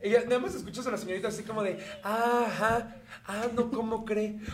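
The intonation is monotone and flat. Audible room echo and noticeable background noise are present. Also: man. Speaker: podcast co-host. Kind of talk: casual chat. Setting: studio.

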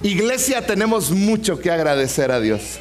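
High-pitched man with an animated tone and lively intonation, fairly slow pace, noticeable background noise. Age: 40s. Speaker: pastor. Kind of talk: sermon.

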